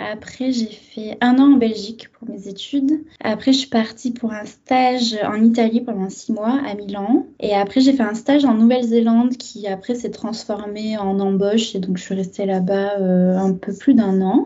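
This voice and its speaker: In a fairly high, somewhat breathy voice, a woman speaks with ordinary pitch variation. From southern France (Arles). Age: 30s. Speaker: translator, expat guest. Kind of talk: casual interview.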